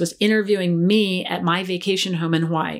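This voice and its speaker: A woman speaks at a medium pitch in a plain, everyday voice. She keeps a moderate pace with ordinary pitch variation. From US East Coast, rural Maryland. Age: 50s. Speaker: television producer. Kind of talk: casual interview storytelling. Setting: in-person office on the beach.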